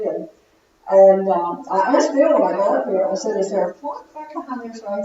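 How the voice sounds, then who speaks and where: A woman is speaking. Noticeable background noise surrounds her voice. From Virginia, US South (Roanoke area). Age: 60s. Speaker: church member giving testimony. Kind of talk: testimony.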